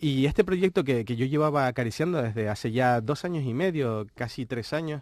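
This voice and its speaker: A man with a medium pitch talks at a fairly quick pace, with lively intonation and hardly any pauses. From Canary Islands. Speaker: book editor and game book creator. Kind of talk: interview. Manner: halting, many fillers and repetitions.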